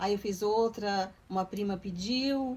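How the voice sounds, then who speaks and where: A woman speaks very slowly in a somewhat breathy, medium-pitched voice with ordinary pitch variation. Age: 60s. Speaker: retired artisan. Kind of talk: documentary interview.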